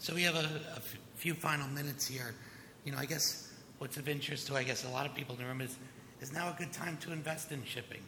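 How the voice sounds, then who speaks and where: Over noticeable background noise, a man talks at a very fast pace with fairly high pitch. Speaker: panel moderator, lawyer. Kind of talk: panel moderation.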